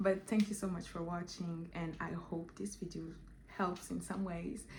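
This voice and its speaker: A woman with vocal fry speaks at a moderate pace and fairly low pitch with fairly even intonation, amid audible room echo. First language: Portuguese or French, not English. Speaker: vlogger. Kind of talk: casual vlog monologue. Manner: halting, with many fillers.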